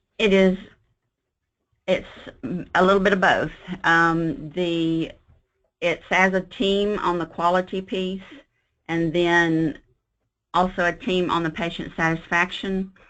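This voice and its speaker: With long, frequent pauses, a woman speaks at a fairly slow pace and medium pitch. Her intonation stays fairly even over a quiet background. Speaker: hospital quality manager. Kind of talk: webinar presentation and Q&A. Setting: online webinar.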